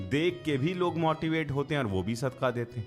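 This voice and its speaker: With music in the background, a man's voice shows ordinary pitch variation. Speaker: Islamic podcaster / religious speaker. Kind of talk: casual explanatory commentary in Urdu.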